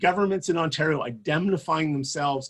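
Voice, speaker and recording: Somewhat breathy and animated, this voice with a Canadian accent carries a passionate tone at a fairly quick pace. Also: man. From Canada (Winnipeg, Manitoba). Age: 60s. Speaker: politician. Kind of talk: campaign speech.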